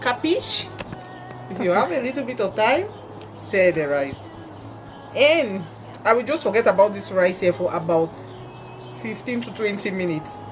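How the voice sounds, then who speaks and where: A woman's medium-pitched voice at a moderate pace, with very wide pitch swings and music in the background. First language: Cameroonian native language. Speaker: home cook. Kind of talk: cooking tutorial. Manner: casual, chatty.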